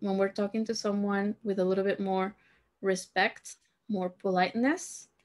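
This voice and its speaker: Against a quiet background, a woman with a medium pitch speaks at a fairly slow pace. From Peru (Lima). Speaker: Spanish teacher. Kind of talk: language lesson tutorial. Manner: slow, repetitive teaching delivery. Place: home room.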